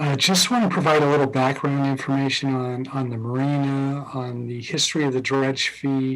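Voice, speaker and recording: Speaking at a moderate pace with hardly any pauses, a man uses a fairly high voice. His intonation stays fairly even over noticeable background noise. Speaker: harbor master. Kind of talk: presentation to city council. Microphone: too quiet at first.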